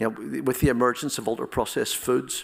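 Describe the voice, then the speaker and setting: In a very clean recording with a silent background, a man talks at a medium pitch with vocal fry. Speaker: professor. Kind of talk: audience Q&A answer; lecture. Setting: stage with audience. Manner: halting.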